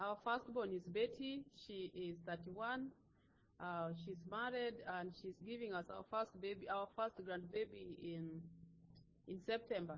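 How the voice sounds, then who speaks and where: A woman talks fairly slowly in an unremarkable speaking voice at medium pitch. Her pitch varies in an ordinary way. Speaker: missionary wife introducing family. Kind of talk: church introduction.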